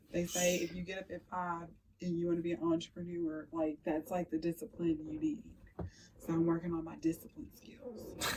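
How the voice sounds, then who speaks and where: A woman with a dark, mellow tone and a fairly low pitch sounds somewhat breathy at a moderate pace. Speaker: podcast host. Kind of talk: casual chat. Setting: studio. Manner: animated.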